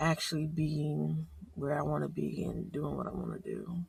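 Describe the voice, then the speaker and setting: A woman with an American accent at a fairly slow pace, with noticeable background noise. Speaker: vlogger. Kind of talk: casual video diary. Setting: outdoors early morning in fog and rain.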